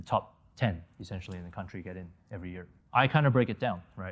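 A man with an American accent talks at a very fast pace in a very deep, low pitch. The recording is very clean, with a silent background. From Malaysia and the US. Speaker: plastic surgeon. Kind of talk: interview.

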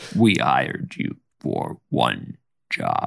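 The man is recorded with a dry, close sound that has no echo. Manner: bitter, grave, menacing.

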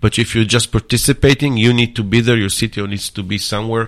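A man with an Israeli accent speaks at a medium pitch. The recording is very clean, with a silent background. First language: Hebrew. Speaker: startup accelerator builder and mentor. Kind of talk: interview. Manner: halting, many fillers.

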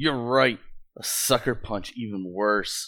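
A man puts on a character voice at a medium pitch, speaking at a fairly slow pace on a very clean recording with a silent background. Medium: actual play. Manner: defiant, cocky.

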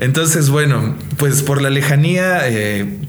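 Noticeable background noise and audible room echo accompany a man speaking at a medium pitch with ordinary pitch variation. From Mexico. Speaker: singer-songwriter. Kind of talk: interview. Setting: on location in Toluca.

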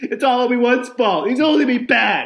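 A man shouts in a whiny, put-on character voice at an extremely high pitch. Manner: screaming, whining, accusing.

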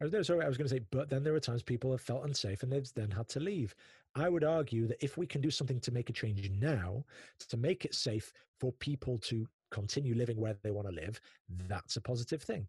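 Very fast and somewhat breathy, a man speaks at a medium pitch with lively intonation in a dry, close sound with no echo. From northern England, Manchester. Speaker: podcast host. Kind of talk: interview conversation. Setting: remote call from home office. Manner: animated.

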